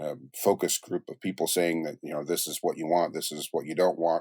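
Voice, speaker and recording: A man is heard in a very clean recording with a silent background. The sound is dry and close, with no echo. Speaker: music producer. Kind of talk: podcast interview answer. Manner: casual, conversational.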